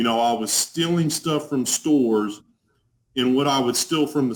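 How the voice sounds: With a strong Texas accent, a man of medium pitch talks at a fairly slow pace with lively intonation.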